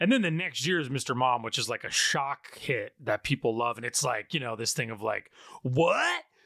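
With an American accent, a man talks at a moderate pace and medium pitch. He has a plain, everyday voice with ordinary pitch variation. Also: dry, close sound with no echo. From upstate New York. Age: 30s. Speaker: film podcast host. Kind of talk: casual chat.

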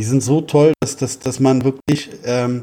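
A man with a fairly high pitch talks at a very slow pace with fairly even intonation. His somewhat breathy voice has a dark, mellow tone, and the sound is dry and close with no echo. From Berlin, Germany. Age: 30s. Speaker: FIFA and mental coach. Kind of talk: interview.

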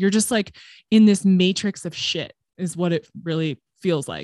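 With a Californian accent, a woman speaks at medium pitch with ordinary pitch variation, in a very clean recording with a silent background and a dry, close sound with no echo. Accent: Californian American English. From Southern California. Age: 30s. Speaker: podcast producer. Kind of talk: casual interview chat.

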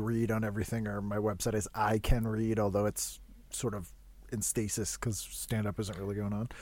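Speaking at a moderate pace in a normal speaking voice, a man with an American accent has a fairly low pitch, on a very clean recording with a silent background. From Boston. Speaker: comedian and podcast host. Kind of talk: casual chat.

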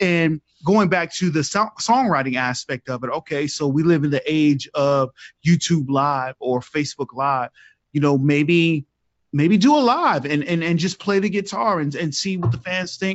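An animated man with a fairly high voice and an American accent, at a moderate pace with ordinary pitch variation. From US South. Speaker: panel guest, music critic. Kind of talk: casual panel review.

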